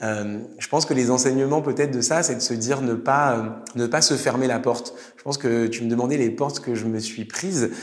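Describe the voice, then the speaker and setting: Over noticeable background noise and audible room echo, a man of medium pitch speaks at a moderate pace with hardly any pauses and fairly even intonation. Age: 30s. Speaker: startup executive. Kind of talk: interview. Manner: hesitant, many fillers.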